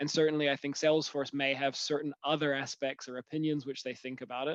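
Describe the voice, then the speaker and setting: A man talks very fast at a fairly high pitch with monotone, flat intonation. The sound is dry and close with no echo, over a quiet background. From New Zealand. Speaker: solution architect. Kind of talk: webinar presentation. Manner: hesitant, many fillers.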